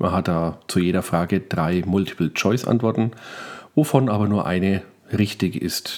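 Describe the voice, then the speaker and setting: A man talks in a normal speaking voice. His pitch is fairly low, and his pace is moderate. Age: 40s. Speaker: podcaster. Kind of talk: casual solo monologue.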